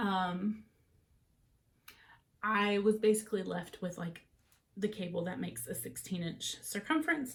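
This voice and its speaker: In an American accent, a woman speaks at medium pitch, somewhat breathily, with lively intonation and long, frequent pauses. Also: fairly slow pace. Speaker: knitting podcaster. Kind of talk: casual chat. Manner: conversational with frequent fillers.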